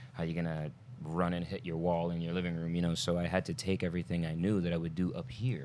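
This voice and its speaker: Delivered at a very fast pace with ordinary pitch variation, this voice carries an American accent. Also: man. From Brooklyn, New York. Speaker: stuntman. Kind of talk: casual chat.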